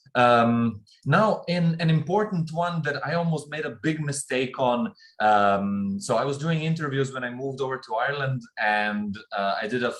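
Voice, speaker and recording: A normal speaking voice delivers lively intonation at a fairly slow pace. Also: man. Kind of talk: casual talk to camera.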